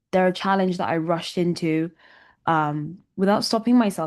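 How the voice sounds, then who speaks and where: Against a quiet background, a woman with a London accent talks at a moderate pace, fairly low in pitch, with ordinary pitch variation. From London, England. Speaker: musician. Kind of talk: interview.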